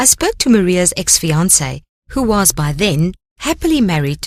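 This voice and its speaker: At a medium pitch, a woman's voice moves through very wide pitch swings. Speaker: audiobook narrator. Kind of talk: ghost story narration.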